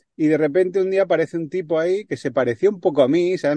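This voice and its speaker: Dry and close with no echo, a man's voice carries a dark, mellow tone. He speaks at a very fast pace. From Barcelona, Spain. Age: 40s. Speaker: traveling cyclist and filmmaker. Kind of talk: casual interview.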